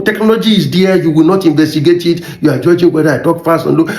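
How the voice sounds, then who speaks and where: A high-pitched man with a Nigerian accent and ordinary pitch variation, with audible room echo and noticeable background noise. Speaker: motivational YouTuber. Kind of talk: motivational talk. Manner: fast.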